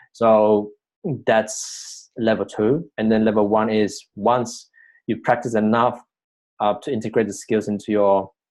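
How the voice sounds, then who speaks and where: A man with a non-native accent, fairly low in pitch, monotone and flat, at a fairly slow pace over a quiet background. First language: not English. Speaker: personal growth coach. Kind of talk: vlog-style teaching monologue. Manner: hesitant, many fillers.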